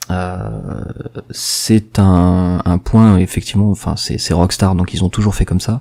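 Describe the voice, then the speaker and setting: Very slow delivery in a dark, mellow tone, its pitch varying in an ordinary way. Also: man, very deep, low pitch for a man. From Marseille, southern France. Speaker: gaming podcast co-host. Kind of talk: casual chat. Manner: hesitant, many fillers.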